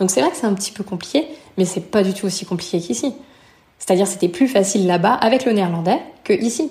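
The voice has a dark, mellow tone, somewhat breathy, moving at a very fast pace with lively intonation. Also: woman, medium pitch for a woman. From France, near Lyon. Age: 30s. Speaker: returned expat. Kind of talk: interview testimony.

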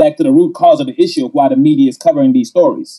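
A man speaks at a very fast pace in an extremely high pitch, his voice making very wide pitch swings. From Georgia, US (born in Gambia). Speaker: app founder and CEO. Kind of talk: interview.

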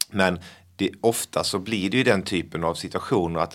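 A man with a fairly low pitch at a moderate pace, on a very clean recording with a silent background. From Blekinge, southern Sweden. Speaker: magician. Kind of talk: casual chat.

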